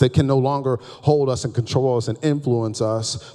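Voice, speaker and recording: A man talks at a medium pitch and a fairly slow pace. His tone is animated. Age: 30s. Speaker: pastor. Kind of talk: sermon. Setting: church.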